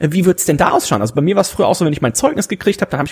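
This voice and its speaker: A man with a somewhat breathy voice speaks with lively intonation. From Germany, rural farm. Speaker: podcast host. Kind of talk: casual chat.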